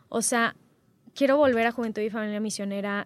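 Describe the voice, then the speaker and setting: An unremarkable speaking voice with ordinary pitch variation, on a very clean recording with a silent background. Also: woman. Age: 20s. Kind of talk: casual interview.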